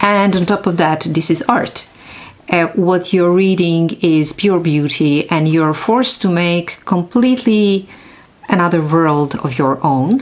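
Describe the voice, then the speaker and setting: A woman's fairly low pitch with ordinary pitch variation, very even loudness and a fairly slow pace amid noticeable background noise. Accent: non-native. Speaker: neuroscientist. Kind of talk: casual vlog talk.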